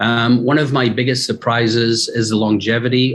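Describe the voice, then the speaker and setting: A man speaks with a slight Scottish accent at a fairly slow pace. His medium-pitched voice stays monotone and flat. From Scotland, Aberdeen. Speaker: fashion company executive. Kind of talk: podcast interview.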